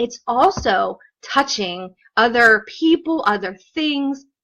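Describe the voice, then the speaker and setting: A woman speaks at a fairly high pitch with a bright, sharp tone. Her delivery is animated. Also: quiet background. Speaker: occupational therapist. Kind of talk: live stream Q&A. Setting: Facebook Live video stream.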